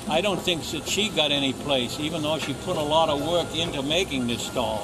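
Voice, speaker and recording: A man with an American accent speaks at a moderate pace in a fairly high voice, with audible room echo and noticeable background noise. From Boston area, US. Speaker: street singer. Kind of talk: documentary interview.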